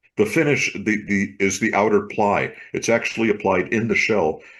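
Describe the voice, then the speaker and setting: Over a quiet background, a man with an ordinary speaking voice and a fairly low pitch talks at a moderate pace with ordinary pitch variation. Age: 60s. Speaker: drummer. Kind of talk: casual chat.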